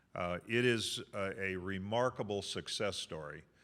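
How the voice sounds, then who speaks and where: A man speaks with a very deep, low pitch. The recording is very clean, the background silent. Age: 60s. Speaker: college sports conference commissioner. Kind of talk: luncheon speech. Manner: halting, many fillers and repeats.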